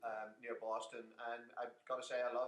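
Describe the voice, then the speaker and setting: A man speaks with an Irish accent. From Ireland. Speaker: business consultant and author. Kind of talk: interview.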